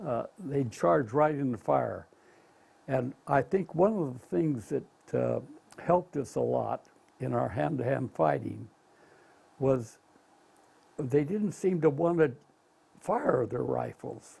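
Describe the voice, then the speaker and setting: A man with an American accent at a very slow pace, with long, frequent pauses. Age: 80s+. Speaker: war veteran. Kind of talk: interview answer. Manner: hesitant, with frequent fillers.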